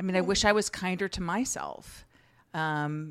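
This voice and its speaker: A woman speaks in a plain, everyday voice at medium pitch. She talks at a fairly slow pace on a very clean recording with a silent background. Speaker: engineer. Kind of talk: casual interview.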